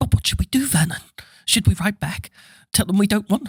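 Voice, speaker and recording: In a shaky, put-on character voice, a man talks at a high pitch and a fairly quick pace with ordinary pitch variation, the sound dry and close with no echo. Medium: read story.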